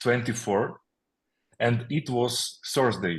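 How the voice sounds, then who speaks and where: The speaker is a man with a Ukrainian accent. His pitch sits in the medium range. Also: quiet background. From Ukraine, Kyiv. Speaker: military chaplain. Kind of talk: testimony. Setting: video call. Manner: halting, many fillers.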